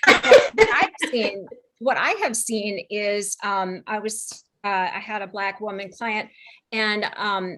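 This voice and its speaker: A woman speaks at a very slow pace. Her intonation is monotone and flat, while her loudness swings a lot. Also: fairly high pitch for a woman. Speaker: panelist. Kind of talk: casual chat.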